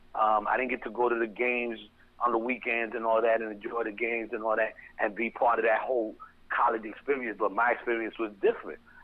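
Very fast and monotone, a man with an American accent speaks flatly at a medium pitch. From New York City (the Bronx). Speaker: hip hop marketing executive. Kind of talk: casual interview. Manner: talkative.

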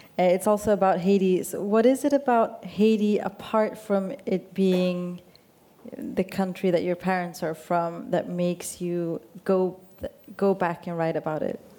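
A woman with a Swedish accent, medium-pitched, with ordinary pitch variation and a fairly slow pace. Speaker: radio journalist. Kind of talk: onstage interview. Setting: stage with audience.

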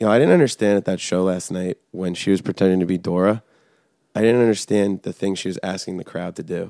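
Speaking very fast with an American accent, a man uses a very deep, low pitch and a dark, mellow tone, with fairly even intonation and a dry, close sound with no echo. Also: very clean recording, silent background. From New Jersey. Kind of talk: casual chat.

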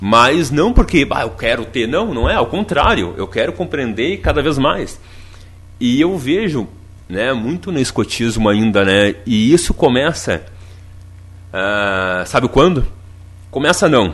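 At a fairly slow pace and medium pitch, a man talks with very wide pitch swings and long, frequent pauses. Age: 30s. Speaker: radio host. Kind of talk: radio talk show; announcements. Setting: studio. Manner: animated.

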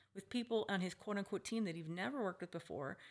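Very fast speech with vocal fry. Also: woman. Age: 50s. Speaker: retired psychologist and hospice patient. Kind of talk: prepared monologue; casual interview conversation. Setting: at home.

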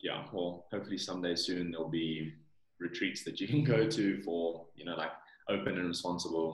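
Moderate pace from a man with a very deep, low pitch and a South African accent. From South Africa, Johannesburg. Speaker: supplement company founder. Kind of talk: interview.

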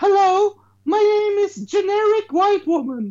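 An extremely high-pitched, put-on character voice speaks at a fairly slow pace. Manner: put-on exaggerated voice.

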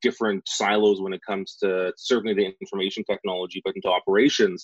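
This speaker is a man. He has a Western Canadian accent. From Saskatchewan, Western Canada. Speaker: public sector digital leadership director. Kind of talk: podcast interview. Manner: halting, many fillers.

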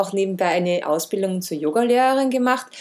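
A normal speaking voice carries lively intonation. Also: woman. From Austria, Vienna. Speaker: wellness podcast host. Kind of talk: podcast monologue introduction.

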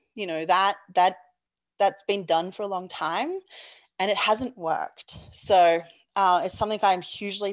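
With an Australian accent, a woman speaks at a medium pitch and a moderate pace with ordinary pitch variation against a quiet background. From Australia, Perth. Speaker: petroleum engineer. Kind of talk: interview.

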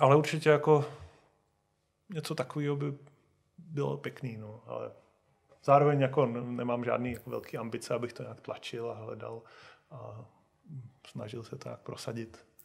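Speech comes at a moderate pace, somewhat breathy and fairly even in intonation, broken by long, frequent pauses. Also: man, medium pitch for a man. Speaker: video game studio founder. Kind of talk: interview.

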